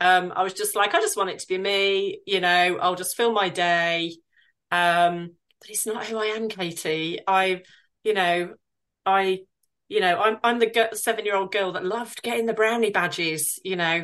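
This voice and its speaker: A woman has a plain, everyday voice at a medium pitch, with fairly even intonation and a moderate pace. Her loudness swings widely against a quiet background. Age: 40s. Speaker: virtual assistant business owner. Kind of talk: casual interview.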